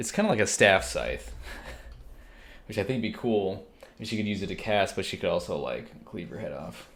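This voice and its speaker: Soft-spoken and at a fairly quick pace, a man talks amid audible room echo. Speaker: digital artist. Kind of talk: drawing tutorial. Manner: casual.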